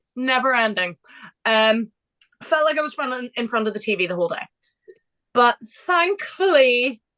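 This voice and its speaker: A woman's high, bright, sharp voice with an English accent, moderate in pace, with very wide pitch swings, long, frequent pauses and a dry, close sound with no echo. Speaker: motorsport podcast co-host. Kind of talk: casual chat. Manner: animated.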